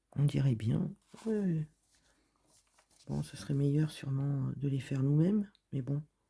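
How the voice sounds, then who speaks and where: Somewhat breathy and dark, mellow in tone, a woman with a very deep, low pitch uses ordinary pitch variation and leaves long, frequent pauses. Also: fairly slow pace. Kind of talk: reading and commenting on a supermarket flyer. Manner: casual, chatty.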